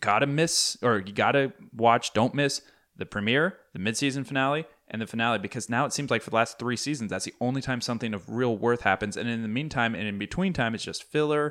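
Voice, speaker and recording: On a very clean recording with a silent background, a man of medium pitch talks at a very fast pace with ordinary pitch variation. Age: 30s. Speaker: podcast co-host. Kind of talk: casual chat.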